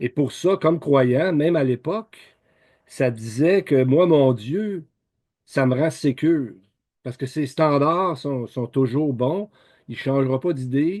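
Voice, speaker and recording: The speaker has a Quebec accent and talks at a very slow pace with long, frequent pauses. Pitch varies in an ordinary way. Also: man, fairly high pitch for a man. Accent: Québécois. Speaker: lay Bible teacher. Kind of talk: Bible teaching talk. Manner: halting, many repetitions and fillers; informal conversational.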